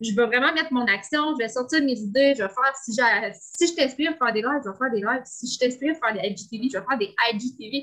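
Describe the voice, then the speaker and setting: With a Quebec accent, a woman talks at a high pitch and a fairly quick pace, with ordinary pitch variation. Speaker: entrepreneur. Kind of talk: coaching session.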